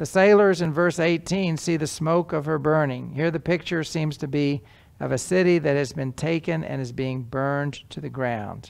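A man's fairly high voice with vocal fry, at a moderate pace. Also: ordinary pitch variation.

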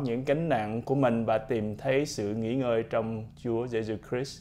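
A man speaks in a dark, mellow tone. His pace is fairly slow. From Vietnam. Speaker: doctor and army officer. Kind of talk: testimony. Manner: halting. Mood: calm, earnest. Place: studio. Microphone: lapel.

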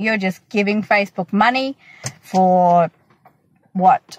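Lively intonation from a woman at a fairly slow pace, the sound dry with no echo. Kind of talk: casual vlog chat. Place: car. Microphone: phone near.

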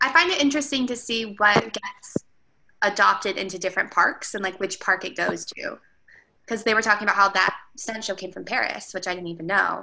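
A fairly quick delivery with big swings in loudness and ordinary pitch variation. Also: woman. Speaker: theme park employee. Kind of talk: casual book discussion. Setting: video call. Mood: interested, conversational. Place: home room. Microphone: video call.

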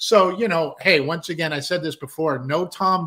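A man's high, bright, sharp voice with an American accent, at a moderate pace, over a quiet background. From Southern California (San Diego); Southern California. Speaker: musician and producer, co-host; show co-host. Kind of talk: casual chat.

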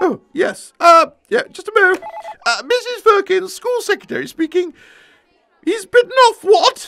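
In a cartoonish character voice at an extremely high pitch, the speaker moves at a fairly slow pace with long, frequent pauses. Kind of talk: comic character dialogue. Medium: puppet show. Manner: chatty, eager to help. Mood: startled on phone.

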